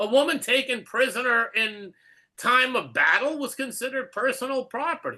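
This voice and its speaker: A man speaks at a moderate pace in an extremely high pitch, his tone bright and sharp. His voice is raised and projected, with fairly even intonation over a quiet background. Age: 70s. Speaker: Torah study teacher. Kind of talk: religious text study discussion. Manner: halting, many repeated words.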